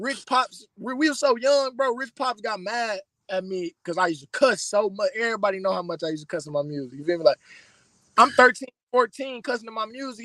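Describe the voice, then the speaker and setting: With an American accent, a man speaks at a very fast pace in a bright, sharp, animated tone. His intonation is lively, and the sound is dry and close with no echo. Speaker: rapper. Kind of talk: casual interview chat. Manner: loud.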